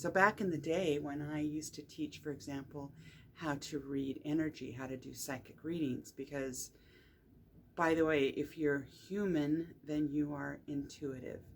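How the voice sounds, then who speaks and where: In a relaxed tone, a woman speaks at a moderate pace with a very deep, low pitch. Her intonation stays fairly even. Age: 60s. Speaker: energy healer and spiritual teacher. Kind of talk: casual monologue talk to camera. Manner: relaxed with frequent fillers.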